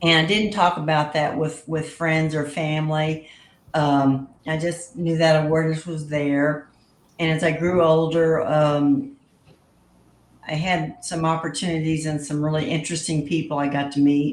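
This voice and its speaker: A woman with a Texan accent, very deep and low in pitch, monotone and flat at a moderate pace, with audible room echo. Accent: Texan Southern US. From South Texas, US. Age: 70s. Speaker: guest sharing paranormal experiences. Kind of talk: casual interview chat.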